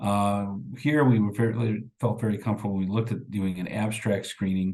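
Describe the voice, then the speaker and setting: The man's voice is fairly low in pitch, with a dark, mellow tone. He talks at a fairly quick pace with ordinary pitch variation. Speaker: rehabilitation researcher presenting. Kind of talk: conference presentation. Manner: halting, many fillers.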